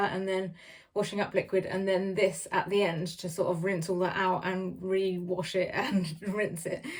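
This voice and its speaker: Her intonation fairly even, a woman speaks with an English accent. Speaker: beauty vlogger. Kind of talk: casual product review. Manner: fast.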